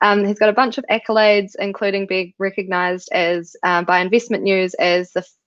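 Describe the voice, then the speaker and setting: Speaking at a fairly quick pace with fairly even intonation, a woman with a New Zealand accent uses a medium pitch against a quiet background. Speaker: co-founder and webinar host. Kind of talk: live webinar interview.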